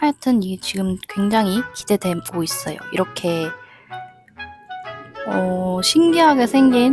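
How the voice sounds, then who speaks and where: A woman at medium pitch and a very slow pace, with very wide pitch swings, long, frequent pauses and music in the background. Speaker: knitting vlogger. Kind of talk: casual knitting vlog narration.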